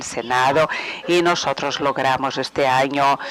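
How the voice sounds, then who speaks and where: A man speaks at a fairly high pitch with fairly even intonation. Noticeable background noise runs underneath. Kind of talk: webinar presentation. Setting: webinar. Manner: halting, many fillers.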